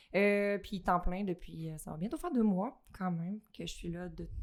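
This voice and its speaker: In a Quebec accent, a woman talks at a fairly slow pace with a medium pitch and ordinary pitch variation. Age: 20s. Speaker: fitness studio operations director. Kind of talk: casual podcast interview.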